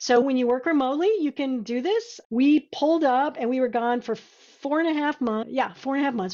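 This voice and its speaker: A woman with a high pitch, ordinary pitch variation and a fairly quick pace. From South Texas (San Antonio), then Nebraska from 14. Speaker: web agency founder. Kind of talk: casual interview chat.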